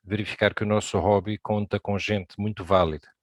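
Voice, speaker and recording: The sound is dry and close with no echo, on a very clean recording with a silent background. Delivery is monotone and flat at a moderate pace. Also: man. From Brazil. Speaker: amateur radio operator, presenter. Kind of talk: presentation talk.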